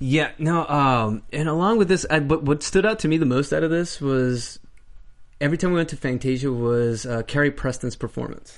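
At a moderate pace, a man with a fairly high pitch and ordinary pitch variation has an unremarkable speaking voice. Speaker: after-show host. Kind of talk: casual after-show chat.

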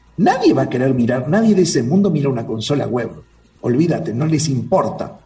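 Lively intonation at a fairly quick pace, with audible room echo and noticeable background noise. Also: man, fairly high pitch for a man. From Uruguay. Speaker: cybersecurity expert. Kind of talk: interview conversation.

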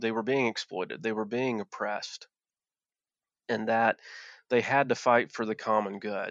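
Recorded with a dry, close sound with no echo against a quiet background, a man talks at a moderate pace. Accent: Appalachian. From Appalachia, Virginia. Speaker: former coal miner and activist. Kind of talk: interview conversation. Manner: hesitant, with many filler words.

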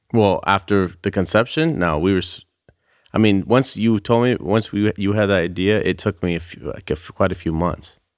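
A fairly low-pitched man's voice with a Californian accent, at a moderate pace, in a very clean recording with a silent background. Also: ordinary pitch variation. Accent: Californian American. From US West Coast, Bay Area (Santa Rosa). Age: 30s. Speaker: custom sneaker designer. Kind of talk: casual interview chat.

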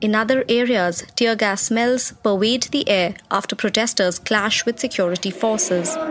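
Music plays behind a woman speaking at a moderate pace with fairly high pitch. Her loudness stays very even and her pitch varies in an ordinary way. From India. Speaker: foreign correspondent. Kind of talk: scripted narration.

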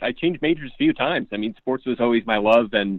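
With lively intonation, a man in an American accent uses a plain, everyday voice at medium pitch. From Pottsville, Pennsylvania. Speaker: fantasy football analyst. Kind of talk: casual interview.

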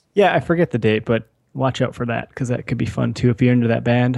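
Speaking at a very fast pace, a man with an Upper Midwest accent has a medium pitch. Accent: Upper Midwest American. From US Midwest, Wisconsin. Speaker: podcast co-host. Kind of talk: casual chat.

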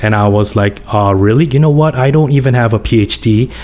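A man with a Korean accent talks at a moderate pace and medium pitch. His pitch varies in an ordinary way, and noticeable background noise can be heard. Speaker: business professor, former tech CEO. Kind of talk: interview.

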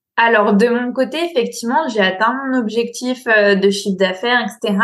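This woman has a normal speaking voice with a fairly high pitch. She keeps a moderate pace and ordinary pitch variation. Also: hardly any pauses. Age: 20s. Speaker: business coach. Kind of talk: interview.

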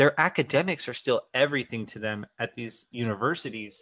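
A man with a medium pitch and a bright, sharp tone speaks at a moderate pace with ordinary pitch variation. The sound is dry and close with no echo, over a quiet background. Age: 20s. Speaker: play-by-play broadcaster. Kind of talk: casual chat.

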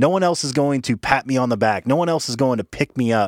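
An ordinary speaking voice with an American accent, lively intonation and a fairly quick pace, in a very clean recording with a silent background and a dry, close sound with no echo. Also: man. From rural small town, US. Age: 20s. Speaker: podcast host. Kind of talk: casual chat.

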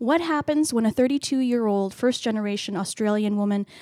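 Woman with a Canadian accent, fairly high pitch, dark, mellow tone, ordinary pitch variation and a fairly quick pace, in a dry, close, echo-free and very clean recording over a silent background. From Canada. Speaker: library podcast co-host. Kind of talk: casual book discussion.

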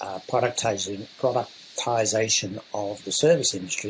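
With fairly even intonation and a medium pitch, a man speaks at a moderate pace as noticeable background noise runs behind him. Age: 80s+. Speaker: entrepreneur and mentor. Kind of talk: podcast interview.

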